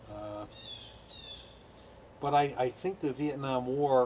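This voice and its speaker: A man speaks at a very slow pace. His voice sits at a medium pitch. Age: 60s. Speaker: war veteran. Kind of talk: interview. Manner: halting.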